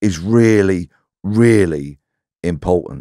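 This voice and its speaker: In an English accent, a man speaks very slowly with a very deep, low pitch and ordinary pitch variation. The recording is very clean and dry, close, with a silent background and no echo. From south-east London, Bexleyheath. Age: 60s. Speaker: ex-police detective. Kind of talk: interview conversation.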